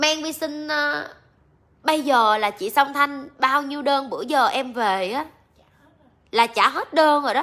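A woman with a high pitch and a bright, sharp tone raises and projects her voice, speaking at a very slow pace with lively intonation and long, frequent pauses. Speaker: livestream seller. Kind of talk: casual livestream chat. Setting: live stream online. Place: shop. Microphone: phone near.

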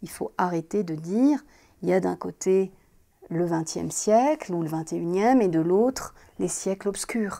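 Against a quiet background, a woman with a medium-pitched, dark, mellow voice speaks very slowly with lively intonation. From Morocco. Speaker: architect. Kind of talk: interview. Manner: halting, with many fillers. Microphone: lapel.

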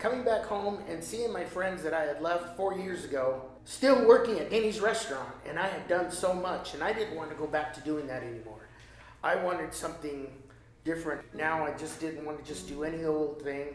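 With audible room echo and light background noise, a man speaks at a fairly quick pace. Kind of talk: interview answer. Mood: reflective, somewhat emotional. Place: home room.

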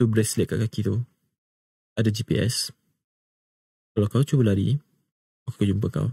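A man with vocal fry speaks at a moderate pace in a fairly low pitch, with ordinary pitch variation and long, frequent pauses. The sound is dry with no echo, and the background is quiet. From Malaysia. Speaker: voice actor. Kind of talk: whispered ASMR roleplay, kidnapper scene. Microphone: studio mic.

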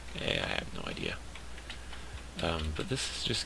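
Noticeable background noise lies behind a man who talks at a fairly slow pace. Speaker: game commentator. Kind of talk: casual gameplay commentary.

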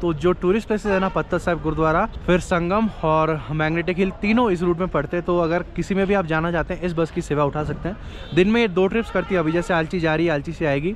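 Light background noise sits under a dry sound with no echo as the speaker talks at a fairly quick pace with hardly any pauses and fairly even intonation. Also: man, high pitch for a man. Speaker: travel vlogger. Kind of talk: casual vlog chat. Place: station. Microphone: phone near.

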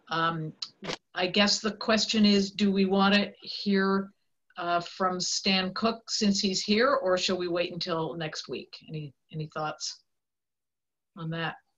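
Over a quiet background, a woman speaks at a very slow pace with fairly even intonation. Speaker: board chair. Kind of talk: public board meeting. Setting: video call. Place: home room. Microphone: video call.

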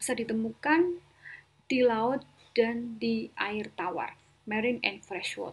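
A woman's fairly high, somewhat breathy voice at a very slow pace with ordinary pitch variation. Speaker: biology teacher. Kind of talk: lecture. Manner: mixes Indonesian and English.

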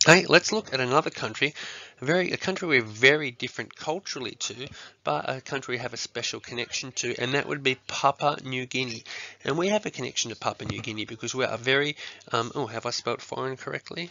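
A man with an Australian accent talks at a very fast pace. His voice sits at medium pitch with ordinary pitch variation. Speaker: primary school teacher. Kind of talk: lesson tutorial to students. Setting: recorded video lesson. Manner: casual, with many fillers.

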